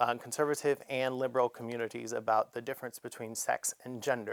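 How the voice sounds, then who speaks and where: This woman's voice has a very deep, low pitch. She talks at a fairly quick pace. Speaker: drag performer and advice segment host; trained vocalist. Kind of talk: advice Q&A segment. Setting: theatre studio. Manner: chatty with frequent fillers.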